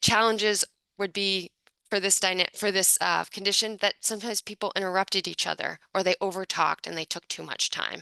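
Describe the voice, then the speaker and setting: In a dry, close sound with no echo, a woman talks in a monotone, flat way, with vocal fry at a medium pitch. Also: fairly quick pace. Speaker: book author presenting research. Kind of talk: academic presentation. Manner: fast.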